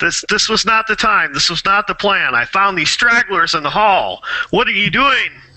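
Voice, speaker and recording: A man puts on a loud, high-pitched character voice and speaks at a moderate pace. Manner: loud, commanding.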